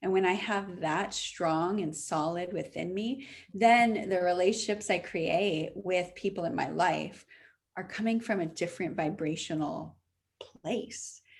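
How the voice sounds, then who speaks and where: At a fairly slow pace, a woman of medium pitch speaks with ordinary pitch variation. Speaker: spiritual healer and relationship coach. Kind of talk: interview. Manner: animated.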